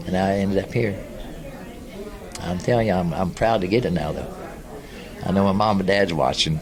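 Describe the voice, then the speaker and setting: There is audible room echo and noticeable background noise as a man speaks at a fairly quick pace with long, frequent pauses. His voice sits at a very deep, low pitch. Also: ordinary pitch variation. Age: 70s. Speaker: war veteran. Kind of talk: interview.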